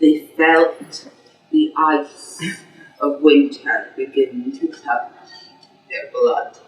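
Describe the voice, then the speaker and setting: Very slow speech from a woman over background music. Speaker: storyteller. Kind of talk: live folk tale storytelling.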